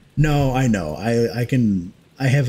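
Over light background noise, a man talks in a somewhat breathy, dark, mellow voice with ordinary pitch variation. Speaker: streamer and gaming host. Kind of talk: casual chat during a group gaming stream. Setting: livestream with voice chat. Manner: rambling, casual, profane. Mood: mildly annoyed ranting. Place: home room. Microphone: headset.

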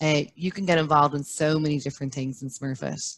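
Speaking at a fairly quick pace, a woman with an Irish accent has a very deep, low voice. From Ireland. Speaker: brand manager; panelist. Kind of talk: webinar interview. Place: home room. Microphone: headset.

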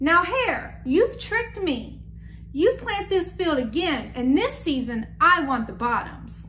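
A woman's put-on character voice, high-pitched with a bright, sharp tone, a slow pace and lively intonation.

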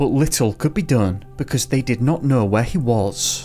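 Music plays in the background as a man speaks at a moderate pace. His intonation is lively. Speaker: channel narrator. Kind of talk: true-crime narration.

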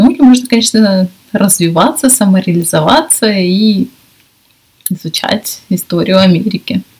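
A woman talks at a moderate pace in a somewhat breathy voice with lively intonation. Her pauses are long and frequent. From Russia. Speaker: English teacher and video blogger. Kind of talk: casual vlog talk to camera. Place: home room. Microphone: webcam.

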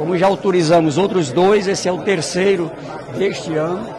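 Against noticeable background noise, a man talks in a high voice with fairly even intonation. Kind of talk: press interview answer. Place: hall. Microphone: handheld.

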